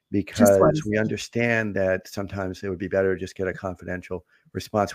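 A man talks at a fairly quick pace with a plain, everyday voice. His pitch sits fairly low. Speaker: podcast host and family therapist. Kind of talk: casual live podcast chat. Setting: live online broadcast.

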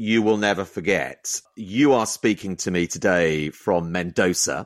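Against a quiet background, a man with a fairly low voice talks at a fairly slow pace with ordinary pitch variation, in a dry, close sound with no echo. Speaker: podcast host. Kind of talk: interview. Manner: loud.

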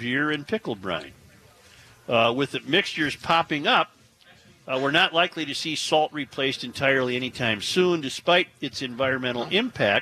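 Man with an unremarkable speaking voice, fairly high in pitch, speaks at a moderate pace with lively intonation, the sound dry and close with no echo. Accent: American. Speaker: radio talk show host. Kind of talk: casual talk radio banter. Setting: live remote broadcast from a store with audience.

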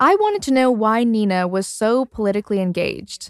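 A woman with a Canadian accent, a plain, everyday voice, medium pitch, ordinary pitch variation and a moderate pace, in a dry, close sound with no echo. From suburban Canada. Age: 20s. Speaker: podcast host. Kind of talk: narrated documentary and interview.

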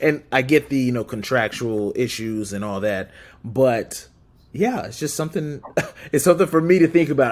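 With an American accent and a normal speaking voice, a man at a medium pitch talks at a fairly quick pace with lively intonation. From Southern California. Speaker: sports podcast guest. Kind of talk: casual sports podcast chat.

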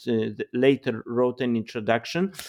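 Delivered at a moderate pace with a Polish accent, the voice sounds dry and close with no echo over a quiet background. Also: man. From Poland. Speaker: philosopher and political theorist. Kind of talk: interview. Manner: halting.

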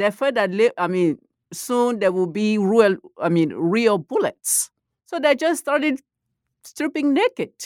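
A woman with a West African accent speaks at a fairly slow pace and fairly high pitch. Her voice makes very wide pitch swings, with a dry, close sound and no echo. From Ivory Coast. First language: Malinke. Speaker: professor of comparative literature. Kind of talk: academic interview.

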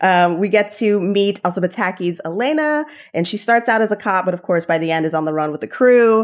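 Against a quiet background, a woman with an ordinary speaking voice talks at a fairly quick pace, medium pitch and lively intonation. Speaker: podcast co-host. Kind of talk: casual conversational podcast.

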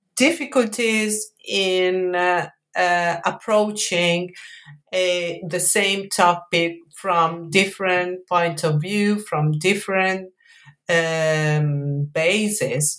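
A woman with an Italian accent, medium pitch, ordinary pitch variation and a very slow pace. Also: very even loudness, very clean recording, silent background. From Italy, Mantua. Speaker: history professor, author. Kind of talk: academic interview. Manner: hesitant, many fillers.

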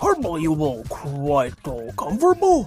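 Using a put-on character voice, a man speaks at a moderate pace in a fairly high pitch, with faint music in the background. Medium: audio drama. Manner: odd, stilted alien phrasing.

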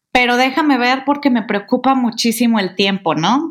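A woman speaks in a high pitch. Her pitch varies an ordinary amount. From Mexico, Guadalajara. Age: 30s. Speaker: podcast co-host, communications consultant. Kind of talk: casual chat.

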